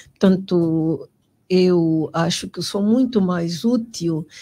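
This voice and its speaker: A woman's very slow speech at a medium pitch, with a dark, mellow tone and ordinary pitch variation, in a very clean recording with a silent background. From Angola, Moxico (Luena). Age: 60s. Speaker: politician. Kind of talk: interview. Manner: halting, many repetitions and fillers.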